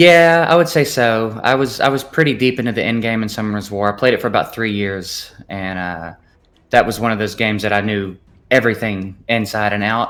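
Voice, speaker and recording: Speaking with a Southern US accent, a man moves at a fairly quick pace with ordinary pitch variation. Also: medium pitch for a man. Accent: Southern accent, noticeable. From US South, Memphis. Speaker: gaming content creator. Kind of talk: casual interview chat.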